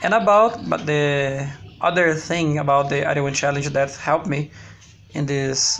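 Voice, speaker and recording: At a moderate pace, a man with a Brazilian Portuguese accent speaks in a fairly high voice with ordinary pitch variation. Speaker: language learner vlogger. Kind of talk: personal video diary. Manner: halting, with frequent repetitions.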